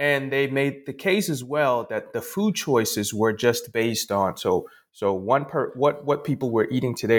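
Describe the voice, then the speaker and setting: The recording is very clean, with a silent background. The intonation is lively. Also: man. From Ghana. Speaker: sociology professor and author. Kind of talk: interview. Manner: halting, frequent repetitions.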